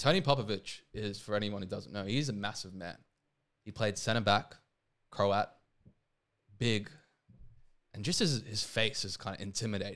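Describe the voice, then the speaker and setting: This man has an Australian accent and a fairly low pitch with ordinary variation. He keeps a moderate pace but leaves long, frequent pauses. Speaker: seminarian and former professional footballer. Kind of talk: casual interview chat.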